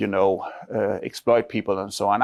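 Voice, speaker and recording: A man speaks with a Danish accent. The sound is dry and close, with no echo. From Denmark. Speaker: academic researcher. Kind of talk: seminar lecture. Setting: university seminar room with audience. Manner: conversational, with frequent fillers.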